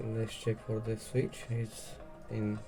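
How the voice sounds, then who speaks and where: Over background music, a man with a non-native accent speaks at a fairly slow pace and a fairly low pitch. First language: not English. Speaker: 3D printing hobbyist. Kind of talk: casual unboxing and assembly talk to camera. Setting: home recording, poor audio.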